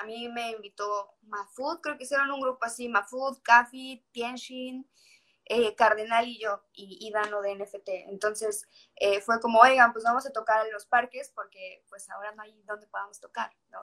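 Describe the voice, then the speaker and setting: At a fairly slow pace, a woman with a fairly high pitch and a bright, sharp tone keeps her intonation fairly even while her loudness swings widely. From Mexico, Yucatán (Mérida). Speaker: singer-songwriter. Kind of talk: casual chat.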